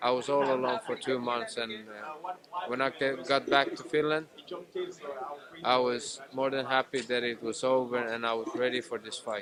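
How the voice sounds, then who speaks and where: Against noticeable background noise, a man talks at a moderate pace with a medium pitch and fairly even intonation. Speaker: mixed martial arts fighter. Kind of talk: media interview. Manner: halting, hesitant.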